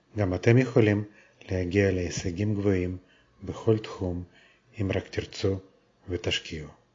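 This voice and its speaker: A man with a fairly low, somewhat breathy voice speaks at a fairly slow pace with fairly even intonation and long, frequent pauses. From abroad, not Israel. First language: not Hebrew (speaking Hebrew). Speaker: children's author. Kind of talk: scripted introduction.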